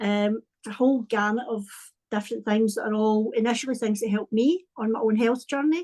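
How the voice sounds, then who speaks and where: With a Scottish accent, this voice has a dark, mellow tone, a fairly quick pace and ordinary pitch variation, recorded dry and close with no echo over a quiet background. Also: woman, fairly high pitch for a woman. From Scotland, Paisley near Glasgow. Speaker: wellbeing and creativity coach. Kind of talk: casual interview chat.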